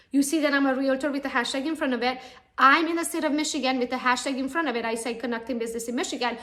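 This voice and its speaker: In a non-native accent, a woman with a high pitch and fairly even intonation speaks at a very fast pace amid audible room echo. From Romania (Transylvania). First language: not English (English is her third language). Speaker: real estate agent. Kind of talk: conference talk. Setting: real estate expo.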